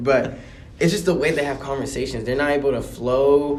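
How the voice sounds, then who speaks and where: A medium-pitched man amid noticeable background noise and audible room echo. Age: 20s. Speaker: rapper and journalist. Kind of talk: podcast interview. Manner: casual.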